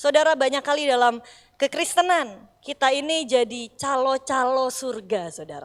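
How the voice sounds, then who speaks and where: A woman with a high pitch talks using lively intonation. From Indonesia, Bandung (West Java, Sundanese). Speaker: pastor. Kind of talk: sermon.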